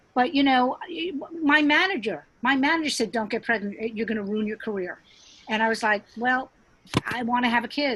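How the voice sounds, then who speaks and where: Her voice is an unremarkable speaking voice, fairly high in pitch. The woman keeps a moderate pace with lively intonation. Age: 60s. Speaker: stand-up comedian. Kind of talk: casual chat.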